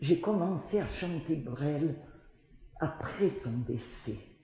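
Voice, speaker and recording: A woman's very deep, low voice at a very slow pace, with ordinary pitch variation and noticeable background noise. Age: 80s+. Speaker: singer. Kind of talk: interview answer.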